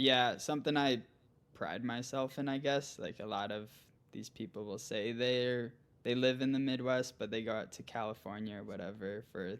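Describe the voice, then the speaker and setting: With fairly even intonation, a man's medium-pitched voice moves at a moderate pace. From central Minnesota, US. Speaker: gravel cycling pro. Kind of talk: casual interview chat.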